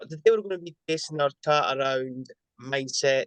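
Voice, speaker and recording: A man with a plain, everyday voice speaks at medium pitch with fairly even intonation, recorded with a dry, close sound and no echo. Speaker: podcast host. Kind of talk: podcast intro and interview.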